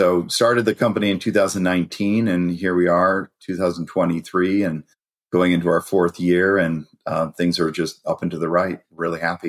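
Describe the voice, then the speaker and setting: Very deep, low-pitched male voice with a Californian accent, fairly even intonation, and a dry, close sound with no echo. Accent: American (Californian). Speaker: cybersecurity company founder and CEO. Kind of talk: podcast interview.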